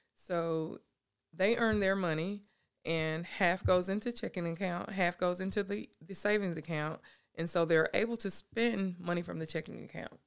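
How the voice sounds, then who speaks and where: Someone with a Southern US accent speaks at a moderate pace on a very clean recording with a silent background. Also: woman, fairly low pitch for a woman, ordinary pitch variation. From South Carolina, Anderson. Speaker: youth mentor and nonprofit founder. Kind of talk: casual interview.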